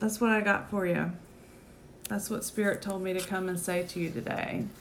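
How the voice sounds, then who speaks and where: Through noticeable background noise and audible room echo, a woman of medium pitch speaks with ordinary pitch variation and long, frequent pauses. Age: 40s. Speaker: midwife and podcast host. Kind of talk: casual monologue on live video. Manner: halting, many fillers.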